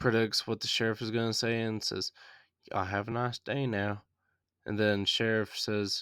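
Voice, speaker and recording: In a Southern US accent, a man speaks at a moderate pace and medium pitch, his bright, sharp tone held in a monotone, flat intonation over a very clean recording with a silent background. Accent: mild Southern. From US South. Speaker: podcast host, movie reviewer. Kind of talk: movie review podcast. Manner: casual, with frequent fillers.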